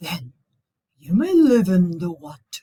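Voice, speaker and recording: Someone in a put-on character voice speaks at a middle pitch and a fairly slow pace. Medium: read story. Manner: thundering.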